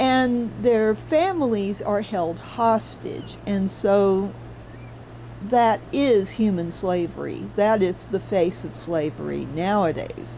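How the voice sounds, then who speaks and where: A woman with an American accent speaks at a very slow pace, and the room echo is audible. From US South. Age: 60s. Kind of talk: casual livestream commentary. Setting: livestream. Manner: animated.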